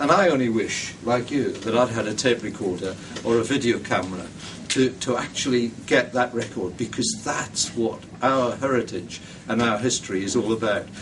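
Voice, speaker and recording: In a northeast English accent, a man speaks at medium pitch and a moderate pace over noticeable background noise. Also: ordinary pitch variation. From northeast England. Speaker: heritage funding committee member. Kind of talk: public speech. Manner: hesitant with many ums.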